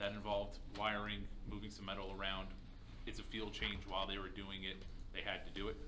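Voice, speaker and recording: A man at a fairly quick pace, with noticeable background noise. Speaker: city manager. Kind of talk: council meeting report. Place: meeting room. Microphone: podium.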